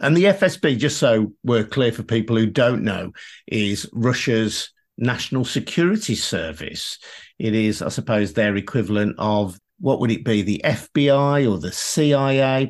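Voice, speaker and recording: Against a quiet background, a man with a British accent speaks at a medium pitch and a fairly slow pace, with lively intonation. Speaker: podcast host. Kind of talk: interview.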